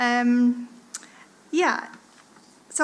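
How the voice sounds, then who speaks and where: There is noticeable background noise as a woman with an American accent speaks at a high pitch with ordinary pitch variation. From United States. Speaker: art lecturer and artist. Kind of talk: conference presentation. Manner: hesitant with fillers.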